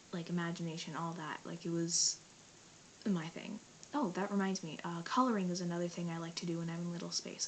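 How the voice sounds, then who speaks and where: Noticeable background noise sits behind a woman who speaks at a fairly quick pace with a fairly low pitch. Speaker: vlogger. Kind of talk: casual vlog monologue. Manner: fast.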